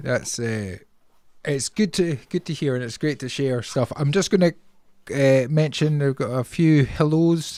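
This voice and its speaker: Fairly high for a man, his voice has a dark, mellow tone and ordinary pitch movement. He goes at a fairly slow pace in a very clean recording with a silent background. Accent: Scottish. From Scotland. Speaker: podcast host. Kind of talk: casual chat.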